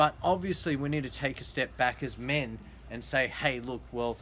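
Over light background noise, a man talks at a moderate pace with an Australian accent. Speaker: vlogger / interviewer. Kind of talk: casual interview. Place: garden. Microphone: phone near.

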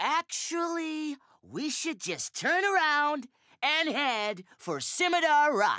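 A cartoonish character voice, high-pitched, moves at a very slow pace.

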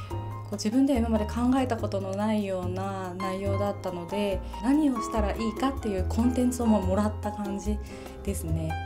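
Moderate pace from a woman, with clear music in the background. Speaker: head spa owner who started her own business. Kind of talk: interview answer. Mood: warm, grateful. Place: shop.

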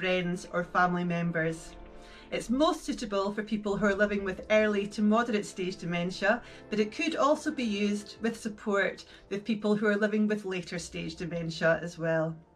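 Faint music plays in the background. The speech moves at a fairly quick pace. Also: woman. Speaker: session guide. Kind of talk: guided session introduction. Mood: warm, gentle, upbeat.

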